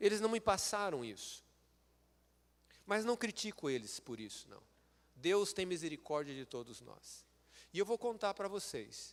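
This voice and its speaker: Speaking fairly slowly with long, frequent pauses, a high-pitched man swings very widely in pitch and makes big jumps in loudness. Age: 60s. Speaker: lay preacher and medical school professor. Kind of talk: sermon. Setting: church.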